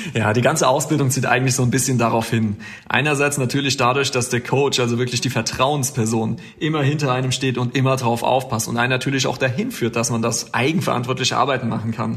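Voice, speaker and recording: Over noticeable background noise, a man with medium pitch talks at a very fast pace with fairly even intonation. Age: 30s. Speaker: air traffic controller. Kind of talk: interview.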